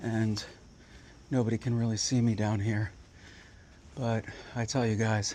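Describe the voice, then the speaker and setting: Quiet, monotone speech from a man at a medium pitch, dark and mellow in tone, very even in loudness, at a moderate pace with long, frequent pauses. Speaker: outdoor vlogger. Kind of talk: vlog narration. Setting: outdoors.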